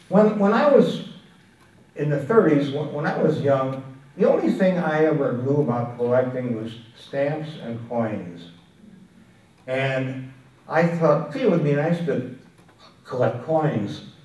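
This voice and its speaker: Amid audible room echo, a man with a fairly high pitch and lively intonation speaks at a fairly slow pace with long, frequent pauses. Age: 80s+. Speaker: antiques dealer and collector. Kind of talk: talk to an audience. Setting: room with a live audience. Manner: halting.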